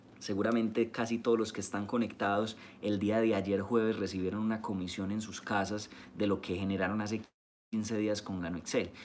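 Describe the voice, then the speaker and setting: With light background noise behind him, a man talks at a fairly quick pace and a fairly low pitch. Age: 20s. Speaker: network marketing leader. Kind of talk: live-streamed training talk. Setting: live stream. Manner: animated. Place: home room. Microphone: phone near.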